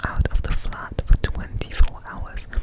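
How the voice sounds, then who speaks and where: Against noticeable background noise, a man whispers at a fairly slow pace. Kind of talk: ASMR up-close whispers, casual talk to camera.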